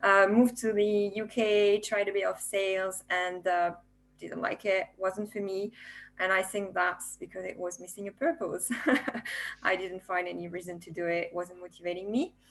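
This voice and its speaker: A woman with a French accent at a medium pitch, with big swings in loudness, fairly even intonation and a moderate pace. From France. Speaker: software developer, former nurse. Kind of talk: panel discussion. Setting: video webinar.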